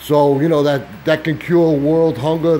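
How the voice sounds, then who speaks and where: Over noticeable background noise, a man speaks at a moderate pace with a fairly high pitch. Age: 60s. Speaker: YouTuber, flat earth promoter. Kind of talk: casual conversation. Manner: halting.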